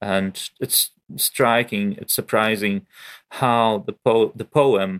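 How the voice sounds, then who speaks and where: A man with a Ukrainian accent speaks very slowly at a fairly low pitch. The sound is dry and close with no echo, on a very clean recording with a silent background. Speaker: poet. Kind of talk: interview. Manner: halting.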